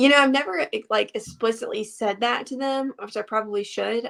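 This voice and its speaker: A woman with a Southern US accent speaks in fairly even intonation. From US South, Alabama. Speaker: teacher and fitness coach. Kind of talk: casual chat.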